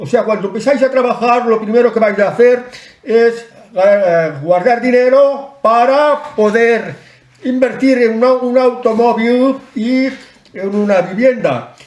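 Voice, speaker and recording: Over noticeable background noise, a man speaks very slowly at an extremely high pitch for a man, with ordinary pitch variation. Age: 60s. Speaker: online commentator. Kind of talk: advice talk to camera. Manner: casual, some hesitations.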